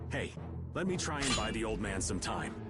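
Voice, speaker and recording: A man uses a put-on character voice at a moderate pace over loud background music. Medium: video game. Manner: shouting attack calls.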